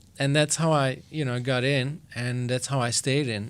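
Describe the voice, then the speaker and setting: The recording is very clean with a silent background as a man speaks at a medium pitch and moderate pace in a flat monotone. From Belgium (Flanders). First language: Flemish (Dutch). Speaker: session drummer. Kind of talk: podcast interview. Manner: casual, hesitant with fillers.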